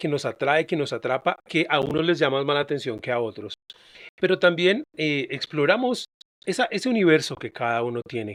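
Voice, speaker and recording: A dry, close sound with no echo and an unremarkable speaking voice. The pace is fairly quick, with lively intonation. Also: man. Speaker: podcast host. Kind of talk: podcast introduction.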